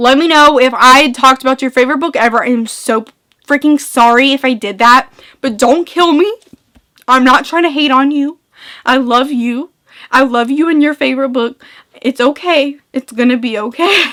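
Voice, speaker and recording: A woman's animated, raised and projected voice at a high pitch. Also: ordinary pitch variation, moderate pace. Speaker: booktuber. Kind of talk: casual vlog chat. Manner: slurred.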